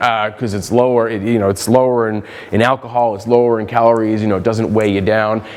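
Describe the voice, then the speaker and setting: Over noticeable background noise, a man speaks at a very fast pace. His medium pitch stays monotone, with flat intonation. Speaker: economics researcher. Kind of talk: conference presentation. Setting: conference talk to an audience.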